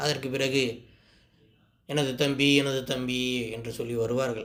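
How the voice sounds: A man's medium-pitched voice at a moderate pace, with little pitch movement.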